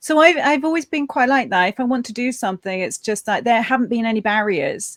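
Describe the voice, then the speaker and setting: A woman speaks at a fairly quick pace with a Lancashire accent and ordinary pitch variation. The recording is very clean with a silent background, and the sound is dry and close with no echo. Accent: northern English (Lancashire). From northern England, Preston. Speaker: cybersecurity entrepreneur and author. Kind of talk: interview.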